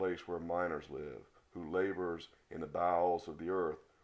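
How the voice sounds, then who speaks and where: A very deep, low put-on character voice from a man, moving at a moderate speed. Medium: read story.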